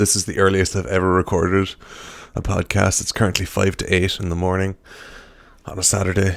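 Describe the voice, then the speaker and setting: A man's put-on character voice, raspy and very deep, monotone and flat, at a fairly quick pace broken by long, frequent pauses. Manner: tired.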